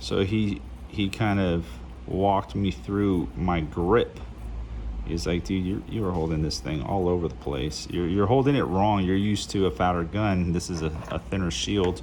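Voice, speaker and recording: A man with a very deep, low voice talks at a moderate pace with lively intonation. Audible room echo and noticeable background noise fill the recording. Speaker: gun hobbyist. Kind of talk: tutorial. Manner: casual, halting.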